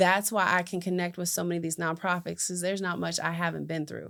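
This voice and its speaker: The recording is very clean, with a silent background. A woman speaks at a fairly low pitch and a fairly quick pace, her intonation fairly even. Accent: American. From West Virginia, rural small town. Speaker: entrepreneur and community advocate. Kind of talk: interview testimony.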